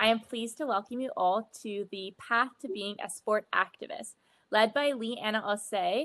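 A woman speaks at a fairly slow pace with ordinary pitch variation. Her loudness swings widely. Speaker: session moderator. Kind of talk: event introduction. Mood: friendly, smiling. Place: home room. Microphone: video call.

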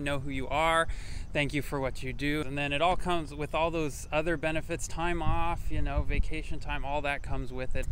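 A fairly quick man's voice, dry with no echo, over light background noise. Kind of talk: interview answer. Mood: friendly, positive. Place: street. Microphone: lapel.

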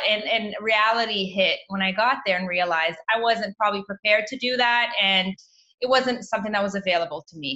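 The woman's speech comes at a fairly quick pace, with ordinary pitch variation, over a quiet background. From Canada, Toronto. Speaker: naturopathic doctor; guest. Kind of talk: interview. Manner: animated. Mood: warm, relaxed. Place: home room. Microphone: video call.

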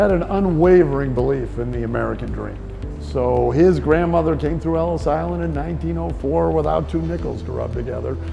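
Faint music plays behind a man whose very deep, low pitch shows ordinary variation. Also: moderate pace. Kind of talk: interview answer. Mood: upbeat, proud storytelling. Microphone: lapel.

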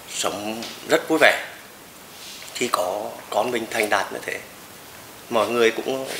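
Slow-paced speech from a man with long, frequent pauses, audible room echo and light background noise. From Nghe An, Vietnam. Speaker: football club president, former footballer. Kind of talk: interview answer. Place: home room.

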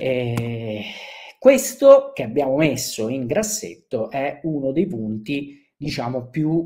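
A man with a southern Italian accent, fairly high-pitched, at a very slow pace with lively intonation, against a quiet background. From southern Italy. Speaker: short-term rental business speaker; webinar presenter. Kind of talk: conference talk. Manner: hesitant, many fillers. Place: home room. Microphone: webcam.

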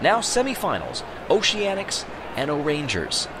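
Noticeable background noise surrounds speech whose pitch swings very widely. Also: man. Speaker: sports commentator for marble races. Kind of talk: live play-by-play race commentary, mock-serious sportscaster style. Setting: studio voiceover over race footage. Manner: urgent, building excitement calling positions lap by lap; animated, exclamatory at close finishes.

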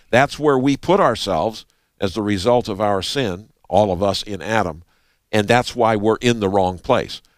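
Over a quiet background, a man speaks at a moderate pace with a fairly low pitch and ordinary pitch variation. The sound is dry, with no echo. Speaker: co-host Bible teacher. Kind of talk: Bible study teaching. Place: studio. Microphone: headset.

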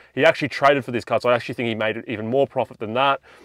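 A man with an Australian accent speaks at a medium pitch with ordinary pitch variation, recorded with a dry, close sound and no echo. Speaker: sports card collector vlogger. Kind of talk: casual vlog. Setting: card show floor.

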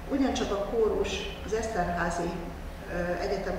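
At a fairly slow pace, a woman is speaking. Noticeable background noise and strong room echo fill the recording. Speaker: university dean. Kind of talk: press conference presentation. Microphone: podium.

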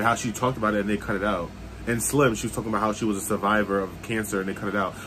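Talking at a very fast pace, a man with a fairly low pitch keeps a monotone, flat intonation over noticeable background noise. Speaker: reality TV reaction vlogger. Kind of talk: casual vlog chat. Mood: opinionated, annoyed at the show. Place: home room. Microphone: phone near.

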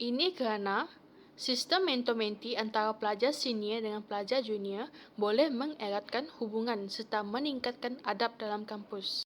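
Recorded very cleanly with a silent background, a woman speaks at a moderate pace with a fairly high pitch and ordinary pitch variation. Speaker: university student. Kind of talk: class presentation. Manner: halting, frequent fillers.

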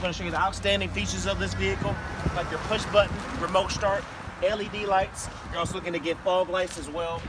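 A man speaks at a very fast pace. The sound is dry with no echo, under loud background noise. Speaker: car salesman. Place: street. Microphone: phone near.

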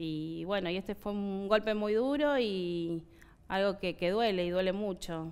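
The delivery comes at a fairly slow pace with ordinary pitch variation. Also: woman. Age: 30s. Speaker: factory worker. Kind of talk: interview; interview answer. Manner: halting. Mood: sad, earnest. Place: studio. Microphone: headset.

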